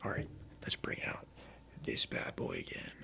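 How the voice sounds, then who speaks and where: Noticeable background noise surrounds a man who whispers at a moderate speed. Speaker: ASMR content creator. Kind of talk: casual talk to camera. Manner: casual, chatty.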